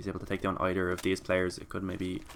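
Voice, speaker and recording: A man's very deep, low voice with a bright, sharp tone, at a very fast pace. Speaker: esports caster. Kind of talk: live commentary.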